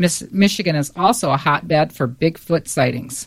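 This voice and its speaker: Pitch shifts here in an ordinary way. Overall it is a normal speaking voice. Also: woman. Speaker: quiz show panelist. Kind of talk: casual chat.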